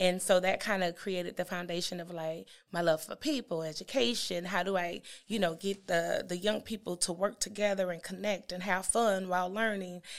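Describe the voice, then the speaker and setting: A woman with an American accent and an ordinary speaking voice, medium pitch, fairly even intonation and a moderate pace, on a very clean recording with a silent background. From East St. Louis, Illinois / Milwaukee. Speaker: university student support administrator. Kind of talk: interview, personal storytelling.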